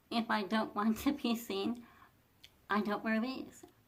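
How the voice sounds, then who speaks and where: The speech moves at a moderate pace, with vocal fry throughout. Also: woman. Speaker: fashion vlogger. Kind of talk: casual talk to camera. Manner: soft-spoken; hesitant, repeats words.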